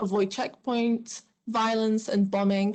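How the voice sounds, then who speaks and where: A woman speaks in an Arabic accent at a moderate pace against a quiet background. Her fairly high voice shows ordinary pitch variation. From Syria. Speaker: refugee student. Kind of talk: panel testimony.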